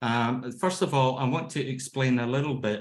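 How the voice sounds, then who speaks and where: The speaker has a Scottish accent and talks at a moderate pace. Intonation stays fairly even. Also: man. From Scotland. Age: 50s. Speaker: laughter yoga trainer. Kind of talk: lecture. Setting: video call. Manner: halting.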